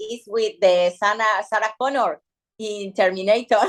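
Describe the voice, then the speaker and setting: A woman with a Spanish accent, her pitch fairly high, her intonation fairly even, her pace moderate. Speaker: bikini fitness athlete. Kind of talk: interview. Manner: halting.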